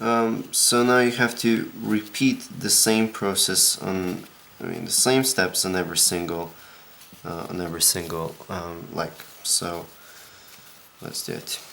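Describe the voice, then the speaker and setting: A soft-spoken man talks at a medium pitch and a fairly slow pace. He leaves long, frequent pauses. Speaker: origami tutorial maker. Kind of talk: tutorial. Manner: monotone; quiet, soft-spoken.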